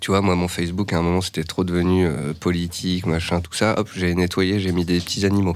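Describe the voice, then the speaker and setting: A man's very deep, low-pitched voice. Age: 30s. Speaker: stock market analyst. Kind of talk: casual interview.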